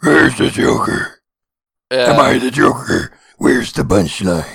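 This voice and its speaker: Adopting a put-on character voice, a man rasps his way through his lines at a moderate pace. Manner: Batman-like.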